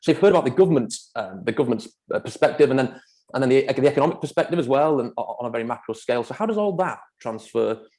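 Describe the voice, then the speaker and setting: With a Manchester accent, a man talks at a very fast pace in a medium pitch, his dark, mellow tone carrying lively intonation. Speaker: property developer. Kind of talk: presentation. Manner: halting, many fillers.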